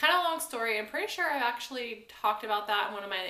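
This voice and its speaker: Amid audible room echo, a woman with an American accent speaks at a very fast pace. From US Midwest, Kansas. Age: 20s. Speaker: vlogger. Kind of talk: Q&A vlog, casual chat.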